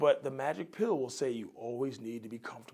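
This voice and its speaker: A man speaks at a moderate pace with a fairly high pitch. He has a plain, everyday voice. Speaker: addiction counselor. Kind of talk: educational talk.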